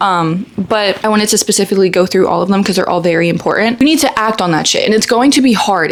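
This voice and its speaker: Noticeable background noise sits behind a woman with an animated tone. She keeps a fairly quick pace and lively intonation. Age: 20s. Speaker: lifestyle vlogger. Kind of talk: casual chat. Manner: fast.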